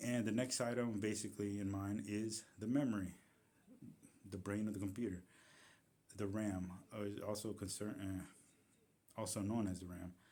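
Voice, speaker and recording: Amid audible room echo, a man with a fairly low pitch and a dark, mellow tone speaks at a moderate pace, with fairly even intonation and long, frequent pauses. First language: not English. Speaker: tech YouTuber. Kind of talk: tutorial. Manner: halting, with fillers and self-corrections.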